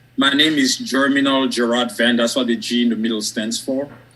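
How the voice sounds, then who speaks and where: A man with a strong French West African accent speaks at a moderate pace, his medium pitch showing ordinary pitch variation. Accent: thick French West African. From Côte d'Ivoire, West Africa. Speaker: academic and author. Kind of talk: interview on live stream.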